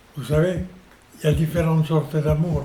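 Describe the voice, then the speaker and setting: Noticeable background noise runs through the clip. A man speaks in a fairly high pitch. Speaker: senior interviewee. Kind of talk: personal testimony.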